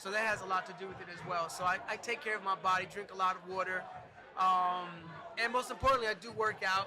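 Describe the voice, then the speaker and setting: Very fast and raised to project, a man's high voice carries fairly even intonation. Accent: American. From New Jersey. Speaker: choreographer and dance studio owner. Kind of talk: casual interview. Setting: live event day party.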